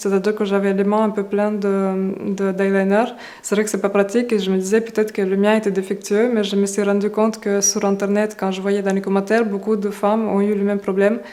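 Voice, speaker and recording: At a fairly quick pace, a woman speaks at medium pitch in a monotone, flat intonation with very even loudness. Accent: Russian. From Russia. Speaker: beauty YouTuber. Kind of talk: casual talk to camera.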